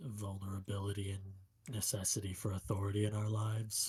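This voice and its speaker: A man does a put-on character voice in a solemn tone at a fairly quick pace. His pitch sits fairly low, with monotone, flat intonation. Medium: actual play. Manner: measured, solemn, philosophical.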